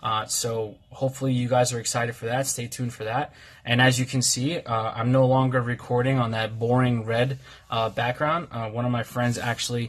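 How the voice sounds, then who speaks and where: Somewhat breathy and medium in pitch, a man speaks at a fairly quick pace with monotone, flat intonation. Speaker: card game youtuber. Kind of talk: casual deck tutorial video. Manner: peppy, fast; halting, words jumbled, many fillers.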